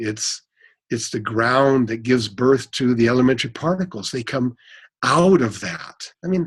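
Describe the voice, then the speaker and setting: A man's somewhat breathy voice at medium pitch, ordinary pitch variation and a moderate pace, in a very clean recording with a silent background. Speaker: cosmologist. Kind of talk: interview. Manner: halting, stuttering.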